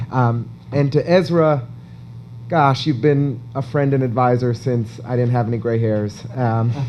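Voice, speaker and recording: With an American accent and a medium pitch, a man speaks at a moderate pace with fairly even intonation amid audible room echo. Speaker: event interviewer. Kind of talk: on-stage interview at an awards event.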